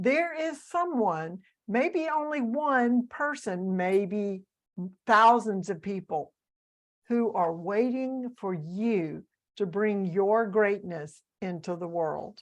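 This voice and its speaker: Very slowly, a woman with a Southern US accent speaks at a medium pitch with very wide pitch swings. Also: quiet background. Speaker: author, coach and speaker. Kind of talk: interview.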